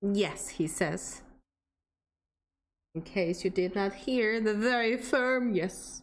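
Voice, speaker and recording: A woman with a non-native accent at a very slow pace, with long, frequent pauses, very even loudness and ordinary pitch variation. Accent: non-native accent, milder than Scottish. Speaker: game streamer. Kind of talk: casual chat. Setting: live stream. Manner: soft-spoken.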